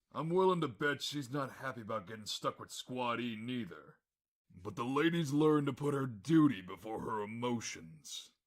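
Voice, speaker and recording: A man's put-on character voice at a medium pitch, with lively intonation and a moderate pace. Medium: audio drama. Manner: gruff, plain-spoken.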